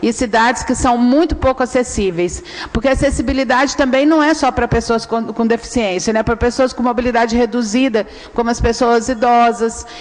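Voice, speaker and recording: With noticeable background noise, a woman talks at a moderate pace in a high pitch with ordinary pitch variation. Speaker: researcher at a human rights NGO. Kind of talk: public hearing presentation.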